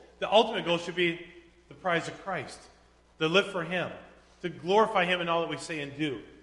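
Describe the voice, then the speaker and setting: With noticeable background noise behind him, a man with a high pitch and fairly even intonation speaks at a fairly quick pace, broken by long, frequent pauses. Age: 40s. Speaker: pastor. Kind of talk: sermon. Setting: church.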